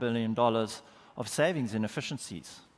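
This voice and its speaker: Recorded very cleanly against a silent background, a man with a South African accent talks at a fairly quick pace with ordinary pitch variation. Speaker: market research executive, conference speaker. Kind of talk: conference keynote. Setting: stage with audience.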